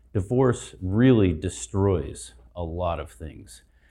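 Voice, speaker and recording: A man speaks in a dark, mellow, somewhat breathy tone with lively intonation. The background is quiet. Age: 60s. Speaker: marriage and family therapist. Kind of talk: conference talk. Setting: stage with audience.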